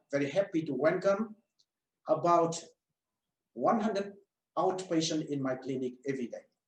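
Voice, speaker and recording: Lively intonation and a moderate pace come through in this speech with a Vietnamese accent. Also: man. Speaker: medical doctor and telehealth clinic owner. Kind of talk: webinar presentation. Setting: online webinar.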